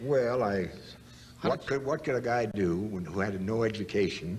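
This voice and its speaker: Speaking at a moderate pace, a man with an American accent shows ordinary pitch variation. Light background noise runs underneath. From United States. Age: 80s+. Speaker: actor. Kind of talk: interview answer. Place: studio.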